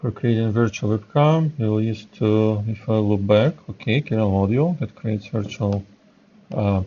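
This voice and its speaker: A man speaks with a non-native accent at a fairly low pitch. His pace is moderate, with ordinary pitch variation. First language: not English. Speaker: software developer. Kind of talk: live coding tutorial. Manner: halting, many fillers.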